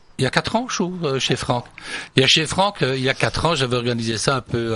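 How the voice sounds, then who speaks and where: This man's voice has a bright, sharp tone. His intonation is lively. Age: 70s. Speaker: singer. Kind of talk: radio interview. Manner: hesitant, many fillers.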